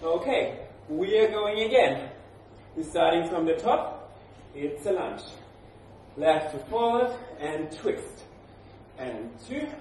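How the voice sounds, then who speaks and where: Speaking at a very slow pace with long, frequent pauses and very wide pitch swings, a man is heard amid audible room echo and light background noise. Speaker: fitness trainer. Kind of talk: workout instruction. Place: gym. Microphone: camera far.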